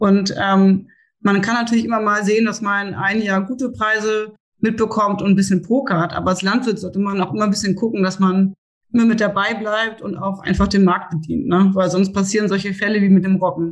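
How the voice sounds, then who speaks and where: At a fairly quick pace, a woman speaks in a somewhat breathy voice at a medium pitch. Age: 30s. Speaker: seed sales and grain buyer. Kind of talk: podcast interview.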